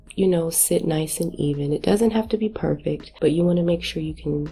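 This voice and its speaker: There is music in the background. A woman speaks at a moderate pace. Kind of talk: cooking tutorial casual talk to camera.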